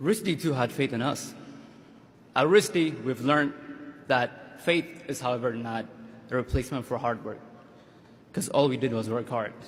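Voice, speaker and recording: A man speaks at a medium pitch with an Ethiopian accent. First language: Amharic. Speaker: graduating student. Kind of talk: commencement speech. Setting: stage with audience.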